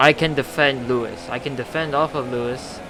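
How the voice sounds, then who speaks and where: A man's lively intonation against noticeable background noise. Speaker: gaming YouTuber. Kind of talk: gameplay commentary. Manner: stuttering; animated.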